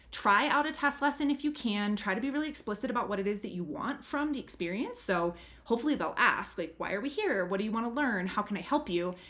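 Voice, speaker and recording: Very fast and with hardly any pauses, a woman speaks at a fairly high pitch with lively intonation. Noticeable background noise runs behind her. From English-speaking country. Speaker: language tutor. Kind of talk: tutorial. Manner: casual.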